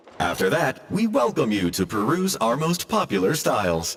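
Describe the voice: At a moderate pace, a man uses a put-on character voice with very wide pitch swings, a slightly husky edge and vocal fry. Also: medium pitch for a man.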